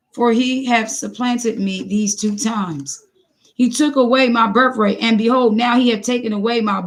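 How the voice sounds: Fairly even intonation in a natural voice reading aloud, quiet all around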